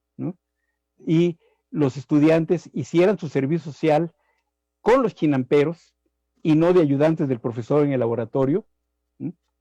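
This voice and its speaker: In a quiet background with a dry, close sound and no echo, a man with a fairly high pitch and a dark, mellow tone speaks fairly slowly with ordinary pitch variation and long, frequent pauses. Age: 70s. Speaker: agronomy professor. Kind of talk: live interview talk. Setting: live stream.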